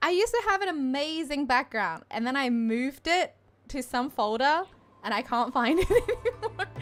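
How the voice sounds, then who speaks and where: A woman speaks with an Australian accent. Her pitch swings very widely. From Australia, Melbourne. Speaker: game streamer. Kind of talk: casual live stream chat. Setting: home streaming setup with fan/aircon. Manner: chatty, rambling.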